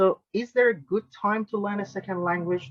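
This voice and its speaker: This is a man speaking with a Persian accent. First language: Farsi. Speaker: linguist and language tutor, webinar host. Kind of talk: webinar interview question.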